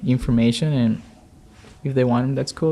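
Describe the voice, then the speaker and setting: Dark, mellow tone from a man at a medium pitch, fairly even in intonation. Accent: non-native. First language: not English. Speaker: door-to-door solar salesperson. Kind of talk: casual chat. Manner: halting.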